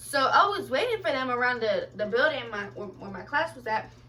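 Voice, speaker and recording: A woman speaks over noticeable background noise. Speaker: vlogger. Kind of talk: storytelling vlog. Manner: fast; animated.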